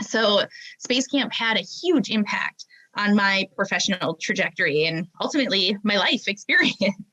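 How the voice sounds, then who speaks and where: A woman with a Minnesotan accent speaks at a moderate pace in a fairly high voice. Her intonation is lively, and the sound is dry and close with no echo. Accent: Minnesota. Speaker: aerospace professional. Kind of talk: interview.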